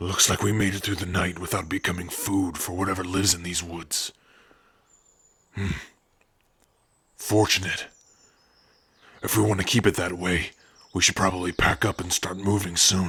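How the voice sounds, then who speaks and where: A man puts on a character voice, very deep and low, with flat, monotone intonation. He leaves long pauses, and often. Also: moderate pace. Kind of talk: ASMR roleplay.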